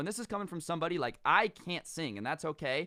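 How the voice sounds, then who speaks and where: A man with an American accent speaks at a fairly quick pace with lively intonation and a bright, sharp tone. The recording is very clean, with a silent background. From US West, Las Vegas. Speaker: storytime youtuber. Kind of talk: storytelling monologue. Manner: casual, animated.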